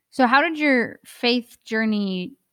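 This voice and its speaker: A woman at a very slow pace, in a dry, close recording with no echo, very clean with a silent background. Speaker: podcast co-host. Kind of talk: interview, casual conversation.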